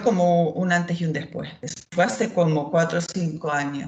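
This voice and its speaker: Somewhat breathy, this woman's voice carries her words. She keeps a moderate pace. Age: 50s. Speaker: former anxiety patient. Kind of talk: testimony.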